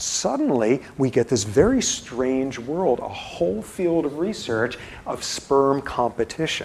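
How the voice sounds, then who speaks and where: Against noticeable background noise, a man speaks at a fairly slow pace with hardly any pauses, using lively intonation and an animated tone. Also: medium pitch for a man. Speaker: university professor. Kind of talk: lecture. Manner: mumbling.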